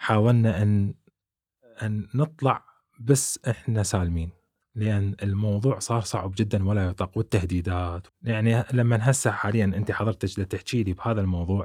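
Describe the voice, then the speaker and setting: In a very clean recording with a silent background, a man with an unremarkable speaking voice and fairly low pitch speaks at a fairly slow pace, his intonation fairly even and the sound dry and close with no echo. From Iraq, Baghdad. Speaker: YouTuber, immigrant. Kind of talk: interview testimony.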